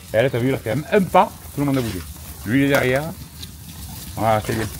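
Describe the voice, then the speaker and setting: Over noticeable background noise, a man with a medium pitch talks at a very fast pace with lively intonation. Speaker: goat and sheep farmer. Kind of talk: casual chat.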